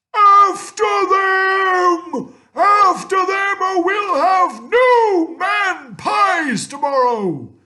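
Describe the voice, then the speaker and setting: An extremely high, bellowing put-on character voice at a very slow pace. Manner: roaring, commanding.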